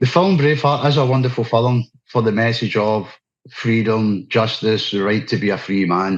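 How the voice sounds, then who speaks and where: A man with a Scottish accent talks at a moderate pace, his pitch medium with ordinary variation. His loudness stays very even. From Scotland. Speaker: activist speaker. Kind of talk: interview. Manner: unscripted, halting.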